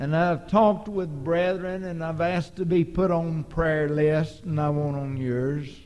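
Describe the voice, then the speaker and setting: A man with a Texan accent talks at a very slow pace in a fairly high pitch, with ordinary pitch variation. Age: 60s. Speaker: preacher. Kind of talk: sermon. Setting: church.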